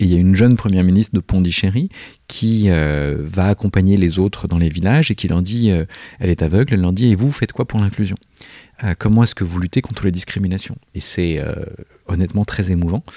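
A man with a very deep, low pitch and a dark, mellow tone speaks at a fairly quick pace with ordinary pitch variation. The recording is very clean, dry and close, with a silent background and no echo. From southern France. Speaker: researcher in education. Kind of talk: interview. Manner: halting.

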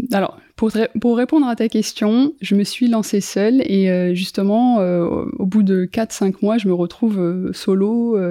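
Captured on a very clean recording with a silent background, a woman speaks in a dark, mellow tone with ordinary pitch variation. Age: 30s. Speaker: influencer marketing agency founder. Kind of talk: casual interview. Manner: hesitant, repeats words.

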